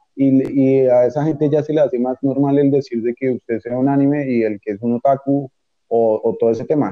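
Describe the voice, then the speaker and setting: This man has a plain, everyday voice, set at a medium pitch, and he talks at a moderate pace with fairly even intonation. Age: young. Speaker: university student. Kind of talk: casual chat.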